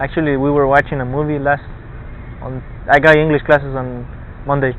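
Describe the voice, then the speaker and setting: A man talks at a fairly quick pace with a Spanish accent and a fairly high pitch. His intonation is flat and monotone, with noticeable background noise behind him. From Argentina. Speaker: college student. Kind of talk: casual chat. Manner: halting.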